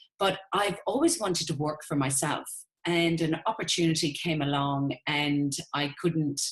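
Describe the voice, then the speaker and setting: Pitch shifts in an ordinary way while the delivery stays fairly slow. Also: woman. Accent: Irish. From Ireland. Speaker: network marketing business owner. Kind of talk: webinar sales presentation. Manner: enthusiastic.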